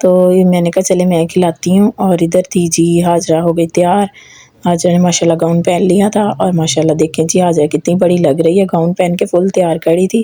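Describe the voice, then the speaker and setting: Speaking at a fairly slow pace with hardly any pauses, a woman keeps a fairly low pitch, a monotone, flat intonation and very even loudness. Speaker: family vlogger. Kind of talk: casual vlog narration.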